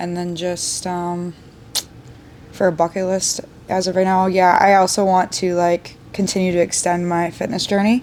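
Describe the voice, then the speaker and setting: A woman talks in a plain, everyday voice, medium in pitch and moderate in pace. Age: 20s. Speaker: bartender and army reservist. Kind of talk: casual podcast chat. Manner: casual, filler-heavy speech.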